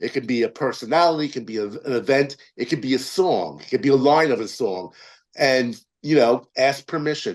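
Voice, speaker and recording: A man speaks at a fairly quick pace. His pitch is medium, and the background is quiet. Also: lively intonation, big swings in loudness. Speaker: film producer and writer. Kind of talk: interview. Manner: fast.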